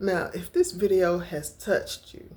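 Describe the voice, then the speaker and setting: A woman's very slow speech with vocal fry and very wide pitch swings. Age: 60s. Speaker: lifestyle vlogger. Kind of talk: casual vlog talk to camera.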